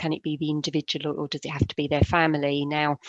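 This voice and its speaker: Very fast speech with a dry, close sound and no echo. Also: woman. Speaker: care fees financial adviser. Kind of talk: webinar presentation. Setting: video call webinar.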